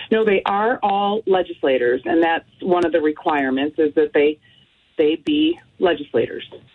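A woman with an American accent, an ordinary speaking voice, a fairly low pitch, lively intonation, very even loudness and a moderate pace. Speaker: state senator. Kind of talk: radio interview. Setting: phone call.

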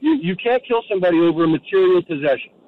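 Lively intonation marks this man's speech. He talks at a fairly quick pace with an American accent. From New Jersey. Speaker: caller. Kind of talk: casual chat. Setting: phone call.

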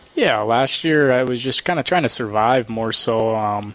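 Male speech, mid-range in pitch, with clear background noise behind it. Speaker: pro hockey player. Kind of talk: postgame interview. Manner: hesitant, filler-heavy.

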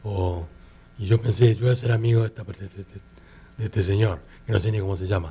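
Speaking very fast yet with long, frequent pauses, a man with a fairly low pitch keeps his intonation fairly even. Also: big swings in loudness. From Argentina, Buenos Aires. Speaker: artist and advertising creative. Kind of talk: interview. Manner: halting, many repetitions and fillers.

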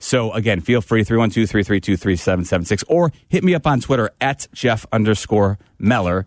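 A man's fairly low-pitched voice at a very slow pace with hardly any pauses, lively intonation and very even loudness, dry and close with no echo against a quiet background. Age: 40s. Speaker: sports radio host. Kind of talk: radio talk show.

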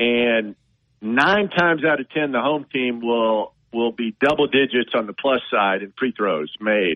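A man with a plain, everyday voice speaks at a medium pitch and a fairly slow pace with lively intonation. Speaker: golf reporter. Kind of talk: casual sports chat. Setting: phone call.

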